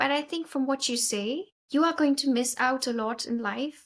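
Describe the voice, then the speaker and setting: A woman with high pitch uses a raised, projected voice and a bright, sharp tone. Her intonation stays fairly even at a moderate pace. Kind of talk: podcast host interview.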